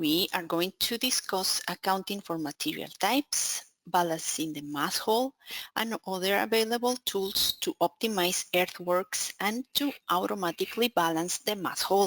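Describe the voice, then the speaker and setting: The sound is dry and close with no echo as a woman speaks at a fairly slow pace, with a medium pitch and lively intonation. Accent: Spanish. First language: Spanish. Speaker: software account manager presenting a webinar. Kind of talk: technical webinar presentation. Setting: online webinar.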